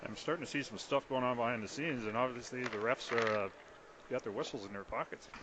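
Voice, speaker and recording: A man talks very fast at a medium pitch with ordinary pitch variation. Noticeable background noise runs under his speech. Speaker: radio color commentator. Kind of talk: live sports color commentary.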